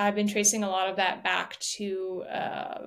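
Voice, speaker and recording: A woman's ordinary speaking voice at a medium pitch, fairly slow in pace, on a very clean recording with a silent background. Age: 30s. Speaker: singer and composer. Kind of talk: interview conversation.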